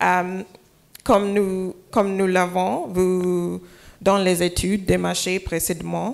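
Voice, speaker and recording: A woman with an English accent at a very slow pace, medium in pitch, with fairly even intonation. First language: English (speaking French). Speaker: hotel development executive. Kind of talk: panel discussion. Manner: halting.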